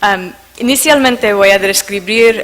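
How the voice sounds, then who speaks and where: A woman talks at a fairly slow pace with a medium pitch and fairly even intonation. Noticeable background noise runs behind her. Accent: non-native. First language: not Spanish (speaking Spanish). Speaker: conference speaker on investment arbitration. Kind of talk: conference presentation. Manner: halting, many fillers.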